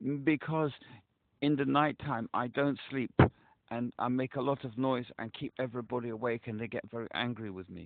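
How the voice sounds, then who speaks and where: A man speaks in a normal speaking voice at medium pitch, keeping a moderate pace and fairly even intonation. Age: 60s. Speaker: caller. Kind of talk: phone call to crisis hotline. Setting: phone call.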